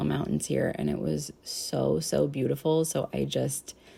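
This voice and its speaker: Noticeable background noise fills the clip. Over it, a woman talks. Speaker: knitting podcaster. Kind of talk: casual vlog to camera; vlog narration. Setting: Airbnb apartment. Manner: quiet.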